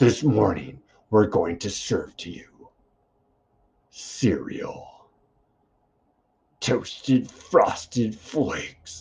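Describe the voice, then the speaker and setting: Growling in a put-on character voice, a man speaks very slowly at a medium pitch, with long, frequent pauses. His tone is dramatic, and his loudness swings widely. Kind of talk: epic movie-trailer voice. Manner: dramatic, making mundane things sound exciting.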